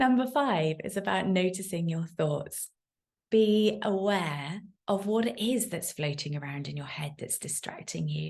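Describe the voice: Fairly low in pitch and marked by vocal fry, a woman speaks at a fairly slow pace. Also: lively intonation, slightly mellow tone.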